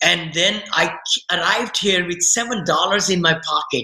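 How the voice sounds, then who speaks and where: A man with an Indian accent, high-pitched, at a moderate pace. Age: 60s. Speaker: real estate investor. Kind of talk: podcast interview. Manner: animated.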